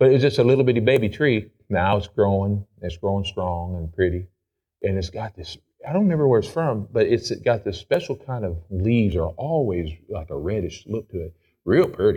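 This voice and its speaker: Over a quiet background, a man with a fairly low pitch and a dark, mellow, somewhat breathy tone talks at a moderate pace with lively intonation and big swings in loudness. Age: 40s. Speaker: pastor. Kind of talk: sermon. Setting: church.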